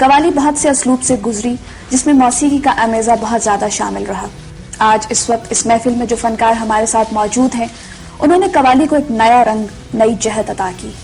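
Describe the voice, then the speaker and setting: Noticeable background noise beneath a woman's speech with ordinary pitch variation. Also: fairly high pitch for a woman. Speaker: interviewer, TV host. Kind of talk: formal TV interview introduction.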